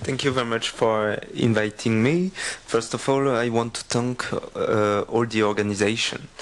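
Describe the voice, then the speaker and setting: Noticeable background noise sits behind a man of medium pitch. He talks at a moderate pace with ordinary pitch variation. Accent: French. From France (Corsica). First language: French. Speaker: accessibility expert, conference speaker. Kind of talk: conference presentation. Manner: halting, many fillers.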